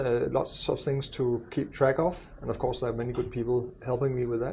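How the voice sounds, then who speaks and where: Somewhat breathy, a man talks in a dark, mellow tone at a moderate pace. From Denmark. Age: 60s. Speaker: university president. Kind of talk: podcast interview. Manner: hesitant, many fillers.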